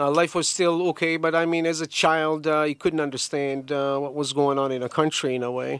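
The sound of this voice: A man with a fairly high pitch and a clear, smooth, fairly bright tone, at a fairly quick pace with little pitch movement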